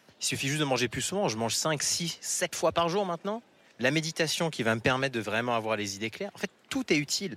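Bright and sharp in tone, this man's voice sits fairly high in pitch. He talks at a very fast pace with very wide pitch swings. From France. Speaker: tech entrepreneur. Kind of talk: interview. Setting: in a car.

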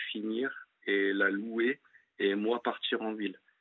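This is a man speaking. His pitch is medium. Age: 30s. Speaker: caller. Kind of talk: testimony. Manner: halting.

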